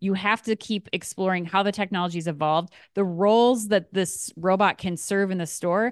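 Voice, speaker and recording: Speaking with hardly any pauses at a moderate pace, a woman with an unremarkable speaking voice holds a medium pitch and fairly even intonation in a dry, close recording with no echo. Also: quiet background. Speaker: podcast host. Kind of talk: casual chat and news roundup.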